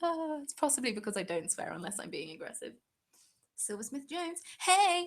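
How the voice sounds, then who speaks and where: With a southern English accent, a woman talks in an animated tone marked by very wide pitch swings. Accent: British, southern English. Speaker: craft YouTuber. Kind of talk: live stream Q&A chat. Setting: live stream.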